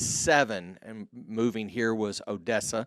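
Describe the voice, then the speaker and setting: Very slow delivery in a dry, close sound with no echo, on a very clean recording with a silent background. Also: man. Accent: Texan. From Texas, Mesquite near Dallas. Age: 50s. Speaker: podcast host and entrepreneur. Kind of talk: interview, answering questions.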